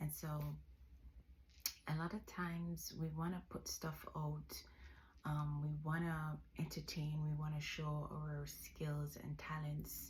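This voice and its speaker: With audible room echo, the speaker takes a very slow pace in a relaxed tone, very even loudness and long, frequent pauses. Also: woman. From Jamaica. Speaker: vlogger. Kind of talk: casual vlog monologue. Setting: bedroom. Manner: relaxed, hesitant with fillers.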